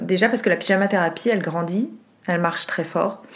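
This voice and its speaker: Here a woman speaks at a fairly low pitch. Her voice has ordinary pitch variation. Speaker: TV journalist and presenter. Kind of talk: casual interview.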